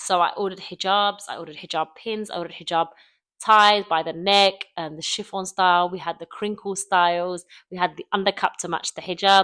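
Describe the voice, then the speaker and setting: In a British accent, the voice moves at a fairly quick pace with monotone, flat intonation and big swings in loudness, recorded dry and close with no echo, very clean against a silent background. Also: woman, medium pitch for a woman. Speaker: YouTuber. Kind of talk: casual vlog monologue. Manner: fast. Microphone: close microphone.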